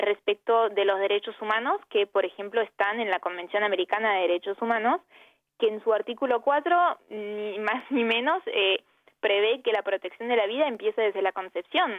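A woman speaks in an Argentine accent at a moderate pace. Her pitch is fairly high, with ordinary variation. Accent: Argentine Spanish, unmistakable. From Brittany, France and Argentina. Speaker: human rights advocate. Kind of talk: radio interview.

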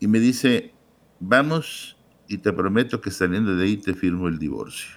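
A man with a normal speaking voice talks at a moderate pace, fairly low in pitch, with lively intonation. The recording is very clean and the background silent. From Mexico, Guadalajara. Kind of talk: testimony.

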